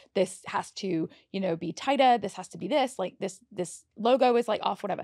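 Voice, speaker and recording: Here a woman talks with a British accent at a fairly quick pace. Her pitch variation is ordinary. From England. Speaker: makeup artist. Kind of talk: casual chat.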